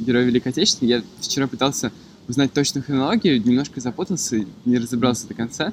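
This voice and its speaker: Noticeable background noise sits behind this man's voice. He speaks at medium pitch with ordinary pitch variation. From Moscow, Russia. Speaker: podcast guest. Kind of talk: casual chat. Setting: outdoors in a city park.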